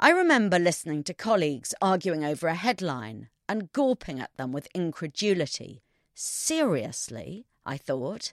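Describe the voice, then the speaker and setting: The voice makes very wide pitch swings alongside big swings in loudness. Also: woman, fairly low pitch for a woman, moderate pace, dry, close sound with no echo, very clean recording, silent background. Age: 50s. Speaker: columnist. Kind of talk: scripted narration.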